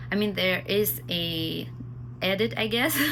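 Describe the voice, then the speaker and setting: A woman's fairly low-pitched, bright, sharp voice with ordinary pitch variation, at a fairly slow pace, with audible room echo. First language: Armenian. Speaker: vlogger. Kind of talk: casual vlog chat to camera. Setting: at home. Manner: halting, with pauses and fillers.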